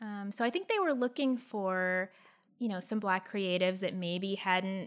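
At a moderate pace, a woman with an American accent speaks in an unremarkable speaking voice with lively intonation. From US Northeast, Pennsylvania. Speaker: illustrator and animator. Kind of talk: casual chat.

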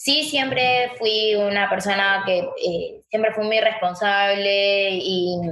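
A woman's voice carries audible room echo. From Argentina, Chaco. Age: 20s. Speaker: paralympic swimmer. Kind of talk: interview.

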